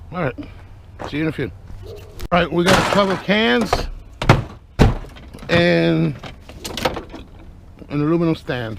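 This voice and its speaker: A man with a fairly high pitch speaks at a moderate pace, his intonation lively. Long, frequent pauses break up his speech, and noticeable background noise can be heard. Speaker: scrapper vlogger. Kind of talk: casual vlog narration. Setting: outdoors, street curbside. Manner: naturally loud; quieter, held back this early.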